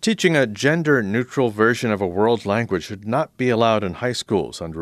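A man with an unremarkable speaking voice, talking at a fairly quick pace with ordinary pitch variation. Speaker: radio news host. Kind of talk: news reading. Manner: formal.

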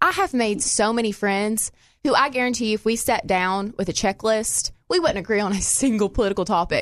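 With a Southern US accent, a woman speaks at a fairly quick pace in a fairly high pitch with ordinary pitch variation. Her loudness stays very even against a quiet background. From Arkansas. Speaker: law student and gun rights activist. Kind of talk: casual chat. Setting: studio.

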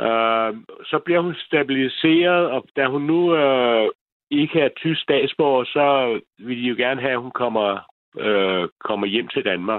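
This man speaks very slowly at a medium pitch, his pitch varying in an ordinary way. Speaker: caller. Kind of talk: phone-in call.

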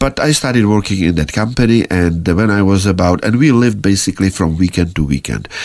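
A man with a Czech accent speaks at a very fast pace and fairly low pitch, with very even loudness and ordinary pitch variation. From Czech Republic. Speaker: emigrant sharing life story. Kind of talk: interview testimony. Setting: studio.

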